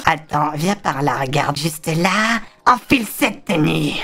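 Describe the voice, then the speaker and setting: A man puts on a character voice. He pitches it fairly high. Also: moderate pace. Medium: game stream. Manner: threatening, mocking.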